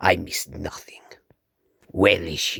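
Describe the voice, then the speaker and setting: In a put-on character voice, a man whispers with a raspy edge. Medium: read story. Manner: clipped, formal, logical.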